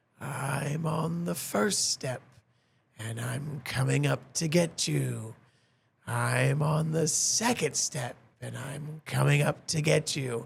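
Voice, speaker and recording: In a raspy, put-on character voice, the speaker talks very slowly at a low-to-middle pitch. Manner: droll, drawn-out, creepy.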